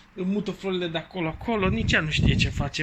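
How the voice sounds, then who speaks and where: Noticeable background noise behind a man's high-pitched voice with fairly even intonation. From Bucharest, Romania. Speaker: vlogger. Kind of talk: casual vlog talk to camera.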